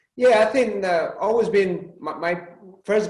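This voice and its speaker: Audible room echo surrounds a man speaking with a Spanish accent at a moderate pace and ordinary pitch variation. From Spain. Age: 40s. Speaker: automotive executive. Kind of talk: interview.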